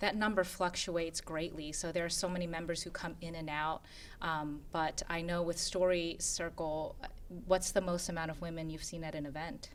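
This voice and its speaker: In a Korean accent, a woman speaks at a moderate pace with a fairly low pitch and monotone, flat intonation. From Philadelphia, US (Korean immigrant community). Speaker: board member of an immigrant women's nonprofit. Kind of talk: interview conversation.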